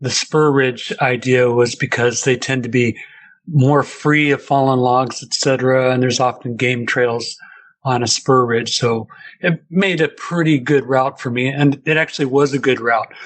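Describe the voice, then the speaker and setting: This man has a Pacific Northwest accent. His intonation stays fairly even. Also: medium pitch for a man, moderate pace. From US Pacific Northwest, Seattle. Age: 60s. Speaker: interview guest telling a sighting story. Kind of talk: personal testimony.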